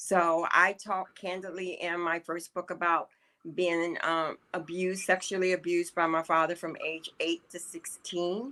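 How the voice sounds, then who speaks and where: A woman speaks with an American accent in a bright, sharp tone at a fairly low pitch, her intonation monotone and flat. She goes at a fairly slow pace on a very clean recording with a silent background. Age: 60s. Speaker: author. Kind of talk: interview testimony.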